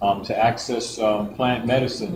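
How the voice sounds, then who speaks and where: A man talks at a fairly slow pace in a medium pitch with fairly even intonation, with noticeable background noise and audible room echo around him. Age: 60s. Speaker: herbalist and farmer. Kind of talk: talk to a congregation. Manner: halting.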